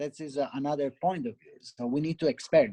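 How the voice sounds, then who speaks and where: A man speaks at a fairly quick pace with an Italian accent. His tone is dark and mellow, and the sound is dry and close with no echo. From Italy. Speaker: barista and cafe owner. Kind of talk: interview. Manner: halting.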